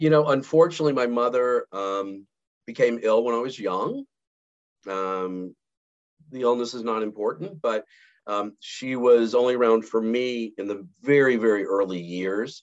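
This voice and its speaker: Against a quiet background, a man speaks in a plain, everyday voice. His pitch is medium, with ordinary pitch variation. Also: moderate pace. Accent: American. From US South, Montgomery, Alabama. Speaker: sales executive. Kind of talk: casual interview.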